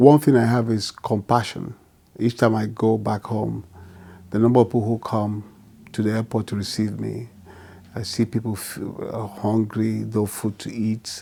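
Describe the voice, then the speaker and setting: In a Nigerian accent, a man speaks at a moderate pace in a dark, mellow, fairly low voice with flat, monotone intonation. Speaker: physician and pastor. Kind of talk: interview answer.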